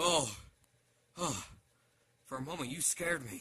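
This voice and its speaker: Putting on a character voice, a man speaks at a moderate pace with lively intonation and a fairly high pitch. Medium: read story.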